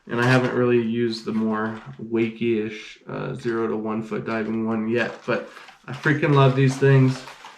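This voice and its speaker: Noticeable background noise and audible room echo accompany speech delivered at a moderate pace. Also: man, medium pitch for a man, ordinary pitch variation. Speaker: fishing YouTuber. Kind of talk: casual unboxing vlog.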